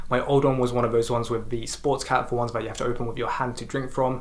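Talking at a very fast pace, a man rushes through his words. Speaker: vlogger. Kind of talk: casual vlog chat. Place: home room.

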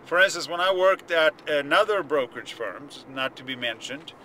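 A man talks with lively intonation over light background noise, the sound dry with no echo. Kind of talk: casual vlog chat. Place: car. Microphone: phone near.

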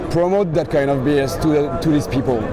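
Crowd noise fills the background as a man speaks in a dry sound with no echo. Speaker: interviewee. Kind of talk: interview answer. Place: street.

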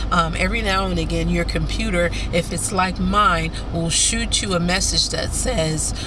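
A woman talks at a moderate pace over noticeable background noise. The sound is dry, with no echo. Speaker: life coach and minister. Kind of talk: motivational faith-based talk. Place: car. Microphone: phone near.

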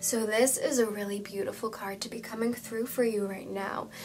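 Amid noticeable background noise and audible room echo, a woman with a fairly high voice speaks in a soothing tone at a moderate pace with fairly even intonation. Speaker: tarot card reader. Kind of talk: tarot reading video. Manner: soothing guided intro.

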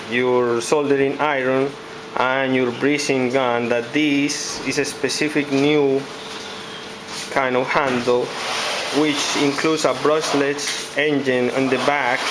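The speech is very slow, with noticeable background noise. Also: man. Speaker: presenter. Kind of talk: product demo commentary. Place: office. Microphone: phone near.

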